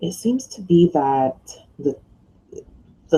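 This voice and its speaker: A woman with an American accent speaks loudly in a dark, mellow tone. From New York. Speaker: online business mentor and blogger. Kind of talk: casual video vlog. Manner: hesitant with many fillers.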